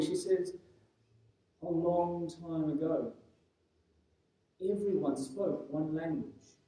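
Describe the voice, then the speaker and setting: A man talks with a dark, mellow tone. His intonation stays fairly even, and there is audible room echo. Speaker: preacher. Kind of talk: sermon. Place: church.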